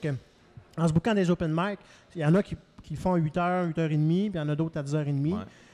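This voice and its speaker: A fairly high-pitched man's voice, dark and mellow in tone, at a very fast pace. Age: 40s. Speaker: comedian. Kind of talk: casual chat. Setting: live venue.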